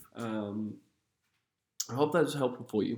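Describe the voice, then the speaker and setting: Here a man speaks at medium pitch with a dark, mellow tone. His pace is moderate. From England. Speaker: realtor. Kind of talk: seminar presentation. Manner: off the cuff, unscripted.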